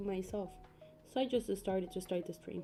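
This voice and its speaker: Music plays in the background as a woman talks in a Spanish accent. Her intonation stays fairly even. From Peru. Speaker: YouTube colorist streamer. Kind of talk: casual livestream chat. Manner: halting.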